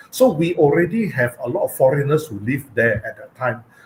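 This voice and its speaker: A man speaks with a Penang accent at a moderate pace. His pitch swings very widely. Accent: Malaysian English, Penang. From Penang, Malaysia. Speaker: cultural heritage speaker. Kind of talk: online talk with slides. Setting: live online stream. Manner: halting, many fillers.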